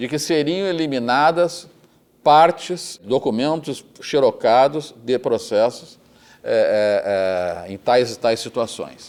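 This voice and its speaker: Very slow male speech marked by very wide pitch swings. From Rio Grande do Sul, Brazil. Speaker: retired federal appellate judge. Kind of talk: oral history interview answer.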